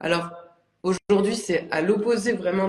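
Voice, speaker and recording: Moderate pacing carries the woman's words. Her intonation is fairly even. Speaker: ceramic artist. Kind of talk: casual interview chat. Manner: hesitant, many fillers.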